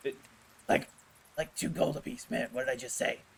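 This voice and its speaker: Raspy and fairly quick, a man performs a put-on character voice. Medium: actual play. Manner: casual, slangy haggling.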